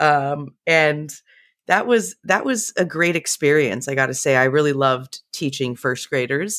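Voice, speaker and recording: A woman with a very deep, low voice and an American accent, lively intonation, a fairly slow pace, dry close sound with no echo, and a very clean recording against a silent background. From California, San Jose (Bay Area). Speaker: employee experience director. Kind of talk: interview.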